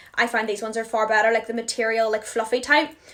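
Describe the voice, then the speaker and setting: A woman with a Northern Irish accent. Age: 20s. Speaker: beauty influencer. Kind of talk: product haul chat. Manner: fast; animated.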